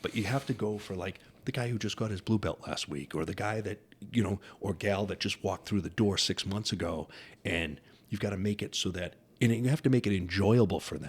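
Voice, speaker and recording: Fairly low in pitch, a man with an unremarkable speaking voice talks with ordinary pitch variation. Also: fairly quick pace. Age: 50s. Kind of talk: casual interview chat.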